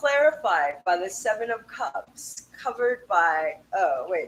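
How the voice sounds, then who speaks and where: A woman's animated voice leaps through very wide pitch swings. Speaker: tarot reader. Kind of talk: tarot reading.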